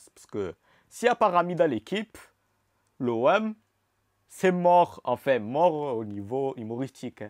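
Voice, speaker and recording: Very wide pitch swings and an animated tone drive this fairly slow delivery. The sound is dry with no echo, against a quiet background. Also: man. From Marseille, southern France. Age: 20s. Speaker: YouTuber. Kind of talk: casual vlog Q&A. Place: home room. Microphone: lapel.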